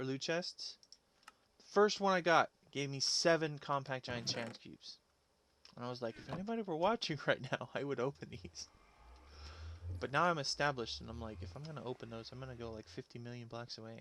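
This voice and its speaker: This man talks at a fairly quick pace with lively intonation and a medium pitch. His loudness swings widely, and he takes long, frequent pauses. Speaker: gaming streamer. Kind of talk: live gameplay commentary. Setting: live stream. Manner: soft-spoken. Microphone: mic maxed out on settings, quiet.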